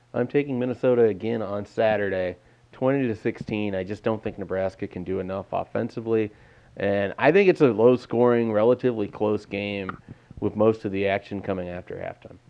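This man's fairly low voice moves at a fairly quick pace, with ordinary pitch variation and big swings in loudness. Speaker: sports podcast host. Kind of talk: casual sports discussion.

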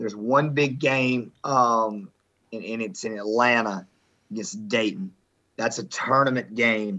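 A man with a Southern US accent and a medium pitch speaks at a fairly slow pace. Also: lively intonation. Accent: Southern American. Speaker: high school basketball coach. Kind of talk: casual sports talk.

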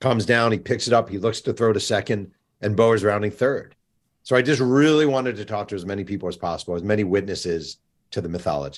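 This man's voice is fairly low, with ordinary pitch variation. He talks at a very fast pace. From New York. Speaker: sports journalist and author. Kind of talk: interview.

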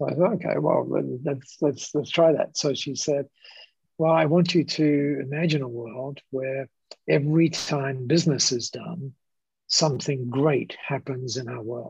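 Somewhat breathy, a man with an Australian accent talks at a fairly high pitch with fairly even intonation. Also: fairly slow pace. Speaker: business founder. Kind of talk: interview storytelling. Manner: hesitant with repetitions.

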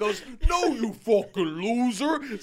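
A put-on character voice at a fairly high pitch, over clear background noise. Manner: aggressive, insulting, staying in character.

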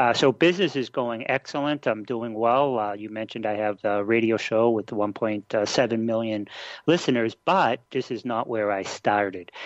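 A speaker with a Boston accent talks at a moderate pace with hardly any pauses. The sound is dry and close with no echo, over a quiet background. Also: man, medium pitch for a man, ordinary pitch variation. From Boston, Massachusetts. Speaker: internet marketing expert. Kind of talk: interview. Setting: radio show.

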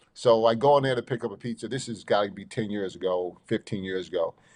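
A man with a New York accent talks at a very fast pace, his fairly low voice showing ordinary pitch variation. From New York, Long Island. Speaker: college basketball head coach. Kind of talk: casual interview.

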